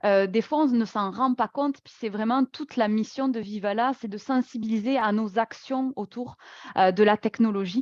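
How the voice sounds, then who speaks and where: At a moderate pace and with fairly even intonation, the speaker has a slight southwestern French accent, with big swings in loudness and a dry, close sound with no echo against a quiet background. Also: woman, fairly high pitch for a woman. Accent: slight southwest French. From southwest France, Toulouse. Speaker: workplace wellbeing speaker. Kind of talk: webinar presentation. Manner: hesitant, many fillers.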